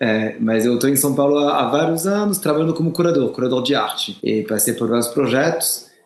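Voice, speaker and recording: A man's fairly high voice in a strong French accent, fairly quick with hardly any pauses, lively in intonation, very even in loudness, amid noticeable background noise. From France. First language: French (speaking Portuguese). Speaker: art curator and cultural center director. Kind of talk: podcast interview.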